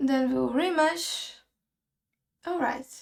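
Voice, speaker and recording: Speech comes very slowly. A non-native accent is heard. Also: woman. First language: not English. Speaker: 3D art tutorial creator. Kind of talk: tutorial. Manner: casual, thinking aloud.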